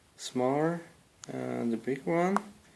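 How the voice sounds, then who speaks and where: Noticeable background noise sits behind a man who talks at a very slow pace. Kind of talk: casual product review to camera. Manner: hesitant, many fillers.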